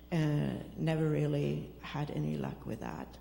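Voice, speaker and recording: Spoken with a Swedish accent, the clip carries audible room echo. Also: woman. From Sweden. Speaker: recovery program participant. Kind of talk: testimony.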